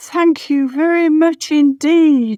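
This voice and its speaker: A squeaky, put-on character voice from a woman, high in pitch. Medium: read story.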